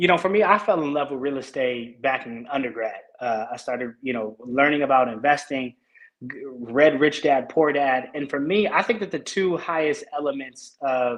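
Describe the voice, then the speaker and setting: This man has a plain, everyday voice with a fairly high pitch. He speaks at a moderate pace with ordinary pitch variation. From Oakland, California. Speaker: realtor. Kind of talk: interview answers.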